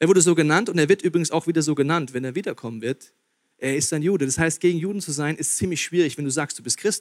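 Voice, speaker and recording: A man with a high pitch speaks with lively intonation and an animated tone. The sound is dry and close, with no echo. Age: 30s. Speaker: pastor. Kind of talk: sermon.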